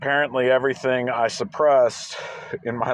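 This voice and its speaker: Noticeable background noise accompanies a man speaking at a moderate pace and medium pitch. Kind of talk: casual talk to camera. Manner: hesitant, rambling.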